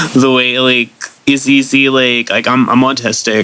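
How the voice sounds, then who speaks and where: A man with an American accent talks fairly slowly, with noticeable background noise in the recording. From Florida. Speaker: musician and DJ. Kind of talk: casual chat. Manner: halting, many fillers and repetitions; matter-of-fact.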